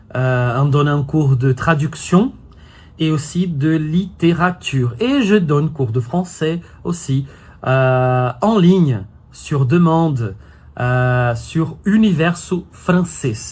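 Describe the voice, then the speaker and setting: Somewhat breathy and fairly high-pitched, a man speaks at a very slow pace with lively intonation on a very clean recording with a silent background. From Brazil. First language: Brazilian Portuguese (speaking French). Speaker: French teacher and YouTuber. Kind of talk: casual vlog talk to camera. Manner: hesitant, many fillers.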